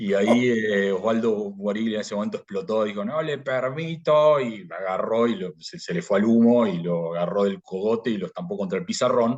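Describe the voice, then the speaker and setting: A man with a Rioplatense accent talks at a moderate pace and a medium pitch. His intonation is lively, and he hardly pauses at all. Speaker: philosophy graduate. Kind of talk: interview. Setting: podcast. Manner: halting, many repetitions and fillers; casual storytelling.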